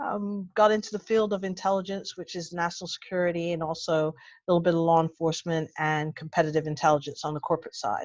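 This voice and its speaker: Speaking very fast with an American accent, a woman has a fairly low pitch and ordinary pitch variation. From United States. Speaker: intelligence analyst. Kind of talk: webinar self-introduction. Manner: animated.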